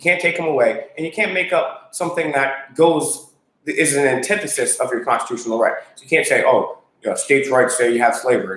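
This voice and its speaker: A man is speaking. He goes at a very fast pace. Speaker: constitutional activist co-host. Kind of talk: live stream chat.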